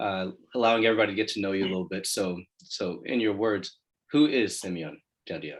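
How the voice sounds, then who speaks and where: Speaking at a very fast pace, a man with an American accent has a fairly low pitch and ordinary pitch variation. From Illinois (Chicago). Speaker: co-host, lawyer. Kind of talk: interview.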